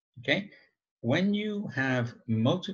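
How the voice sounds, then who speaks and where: A man speaks at a very slow pace, somewhat breathy. His pitch swings very widely against a quiet background. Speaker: agile trainer. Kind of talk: webinar presentation. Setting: video call. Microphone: video call.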